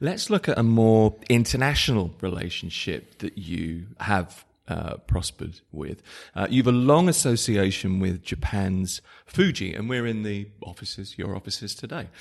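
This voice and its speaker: Over a quiet background, a man with an unremarkable speaking voice, fairly low in pitch, talks at a moderate pace with lively intonation. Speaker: podcast host. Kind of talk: interview.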